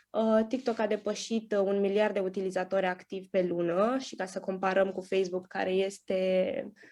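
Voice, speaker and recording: In a very clean recording with a silent background, a woman with a dark, mellow tone speaks at medium pitch in a monotone, flat intonation with hardly any pauses. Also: moderate pace. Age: 20s. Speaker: content creator. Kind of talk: conference talk. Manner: halting, many fillers.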